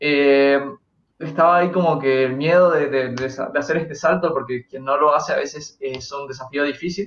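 In a normal speaking voice, a man speaks at a moderate pace with a fairly high pitch and fairly even intonation. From Argentina, Mendoza. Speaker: YouTube collectibles creator. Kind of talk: casual chat.

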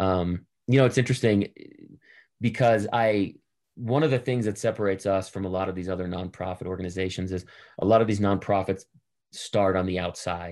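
A man with an American accent talks at a fairly quick pace in a fairly low pitch, with fairly even intonation. Long, frequent pauses break his speech against a quiet background. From Boston, US. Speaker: entrepreneur and investor. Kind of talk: casual interview.

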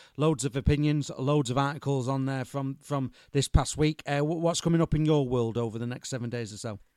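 With hardly any pauses, a man speaks in a plain, everyday voice, his pitch fairly high and his intonation fairly even. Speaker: podcast host. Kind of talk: sports podcast interview and news roundup.

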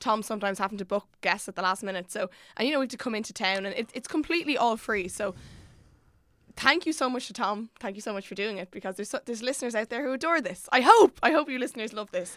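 A woman's fairly high voice in an Irish accent, very fast, with lively intonation, on a very clean recording with a silent background. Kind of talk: casual chat.

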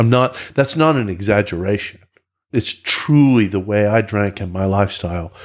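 Here is a man with a normal speaking voice, pitched fairly low, with ordinary pitch variation. He talks at a moderate pace over a silent background in a very clean recording. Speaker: recovering alcoholic. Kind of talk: testimony.

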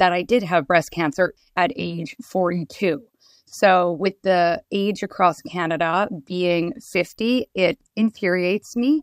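Fairly slow pace and ordinary pitch variation in a very clean recording with a silent background and a dry, close sound with no echo. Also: woman. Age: 40s. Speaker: breast cancer patient advocate. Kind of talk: interview.

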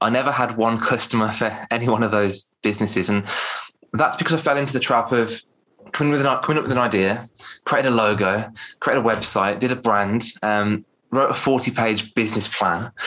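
Speaking very fast with an English Midlands accent, a man keeps a medium pitch, very even loudness and ordinary pitch variation in a bright, sharp tone. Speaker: public speaking coach. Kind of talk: casual interview. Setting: video call.

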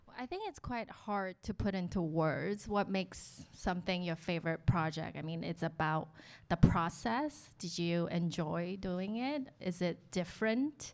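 A woman's fairly low, slow voice, a plain, everyday voice with an American accent and hardly any pauses, in a very clean recording with a silent background. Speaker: designer. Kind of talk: panel discussion. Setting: live audience.

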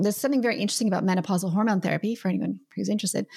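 A plain, everyday voice comes through with ordinary pitch variation. The recording is very clean, with a silent background. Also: woman. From Canada. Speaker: naturopathic doctor and author. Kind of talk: interview.

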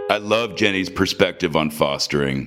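A man speaks at a fairly quick pace with lively intonation. Vocal fry runs through his voice. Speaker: podcast host. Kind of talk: interview chat.

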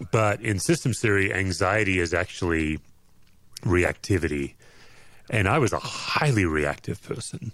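In a plain, everyday voice, a man speaks at a moderate pace and fairly low pitch with lively intonation. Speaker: author and former pastor. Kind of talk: casual interview chat.

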